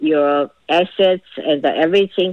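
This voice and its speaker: A woman's fairly low voice with a Chinese accent. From China. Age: 60s. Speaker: storyteller recounting family history. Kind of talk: personal testimony. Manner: halting, many fillers.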